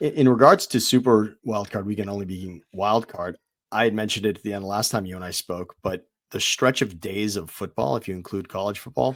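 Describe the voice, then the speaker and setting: A man with an American accent and a plain, everyday voice speaks at a fairly quick pace with a fairly low pitch. His pitch variation is ordinary, his loudness swings widely, and the recording is very clean with a silent background. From Southern California. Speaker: sports podcast co-host. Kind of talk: casual chat.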